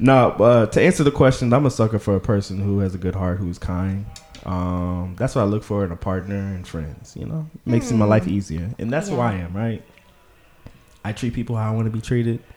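Over music in the background, a man with a fairly low pitch and ordinary pitch variation talks at a fairly quick pace. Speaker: podcast host.

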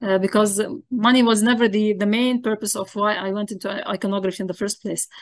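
Over a quiet background, a woman with an Arabic accent speaks at a very fast pace. Her pitch is fairly high, with ordinary variation. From Lebanon, Zahlé. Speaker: iconographer. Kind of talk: interview.

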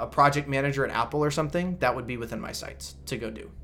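Using an ordinary speaking voice, a man of medium pitch talks at a fairly quick pace with ordinary pitch variation. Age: 20s. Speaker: biotech salesperson. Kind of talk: casual chat.

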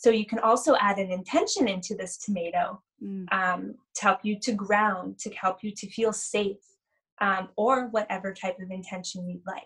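In a Canadian accent, a woman talks at a moderate pace and medium pitch, with big swings in loudness. She has a plain, everyday voice. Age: 30s. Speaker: spiritual energy healer. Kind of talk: casual interview chat.

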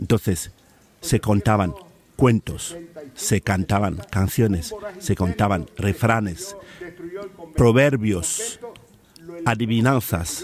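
A man's fairly low voice at a very slow pace, with lively intonation, very even loudness, and long, frequent pauses. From Cameroon, rural inland village. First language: a Cameroonian language (speaking Spanish). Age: 50s. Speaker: professional oral storyteller. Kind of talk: in-depth interview.

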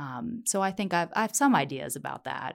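This woman has an American accent and a fairly low pitch with vocal fry. Her pitch swings very widely in a very clean recording with a silent background. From Virginia. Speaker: professor. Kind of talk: interview.

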